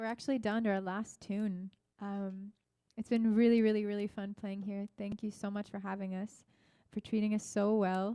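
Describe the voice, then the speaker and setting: Dark and mellow in tone, the voice carries a Norwegian accent and a monotone, flat intonation. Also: woman, medium pitch for a woman, moderate pace. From Norway. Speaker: singer-songwriter, duo musician. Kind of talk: on-stage banter between songs. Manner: hesitant, many fillers.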